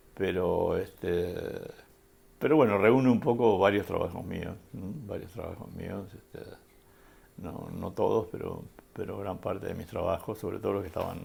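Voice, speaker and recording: This man talks at a moderate pace with an Rioplatense accent. His loudness swings widely. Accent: Argentine Rioplatense Spanish. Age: 70s. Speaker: photographer. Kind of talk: interview. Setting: at his home. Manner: halting, many fillers.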